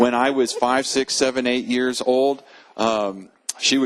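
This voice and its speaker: This man has an ordinary speaking voice. He talks at a moderate pace with a medium pitch. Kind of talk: interview answer.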